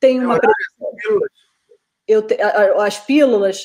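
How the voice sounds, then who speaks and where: This woman talks at a fairly slow pace in a high voice. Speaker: entrepreneur and city guide journalist. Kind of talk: interview.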